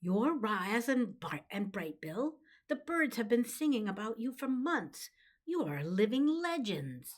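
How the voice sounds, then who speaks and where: A female-sounding voice puts on a squeaky character voice at fairly high pitch. It moves at a fairly slow pace with very wide pitch swings. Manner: squeaky, excited.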